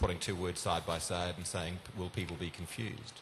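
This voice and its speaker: A man's very deep, low voice with a New Zealand accent, at a fairly quick pace. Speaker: domain industry panelist. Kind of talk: panel discussion. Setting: conference stage with audience.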